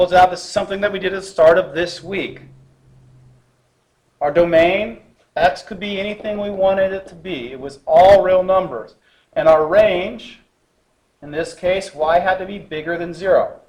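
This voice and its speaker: In a room with audible room echo, a man with a high pitch and ordinary pitch variation speaks at a moderate pace, with big swings in loudness and long, frequent pauses. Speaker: math teacher. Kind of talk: lecture.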